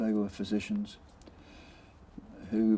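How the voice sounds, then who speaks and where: A very slow, fairly low-pitched male voice with a New Zealand accent, a dark, mellow tone and flat, monotone intonation. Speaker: intensive care doctor, former anaesthetist. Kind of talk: oral history interview answer.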